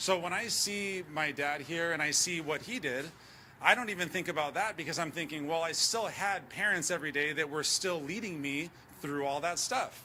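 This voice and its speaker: With audible room echo, a man speaks in a high, bright, sharp voice at a moderate pace with ordinary pitch variation. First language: Spanish. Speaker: tech executive. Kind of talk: conference speech. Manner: animated.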